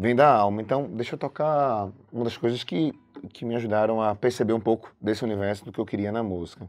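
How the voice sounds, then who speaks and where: A man's medium pitch, with ordinary pitch variation, carries a fairly quick pace. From Brazil, Recife, Pernambuco. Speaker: music historian and teacher. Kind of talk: interview.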